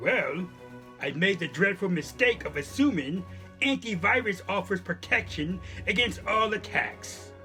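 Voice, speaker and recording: Over clear music in the background, a man performs a cartoonish character voice. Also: moderate pace. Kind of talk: cyber security awareness skit. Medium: puppet. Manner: distressed, pleading.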